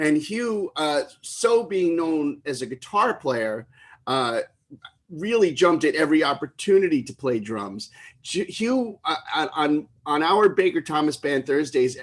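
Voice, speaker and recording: A loud man with a New York accent, fairly high pitch and very wide pitch swings, at a fairly slow pace. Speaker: livestream tribute concert host. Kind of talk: live stream emcee chat.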